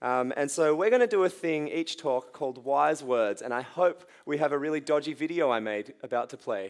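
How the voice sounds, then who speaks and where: Speaking in an Australian accent with hardly any pauses, a man uses a fairly high pitch and lively intonation. The recording is very clean, with a silent background. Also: moderate pace. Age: 20s. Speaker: youth pastor. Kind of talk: sermon.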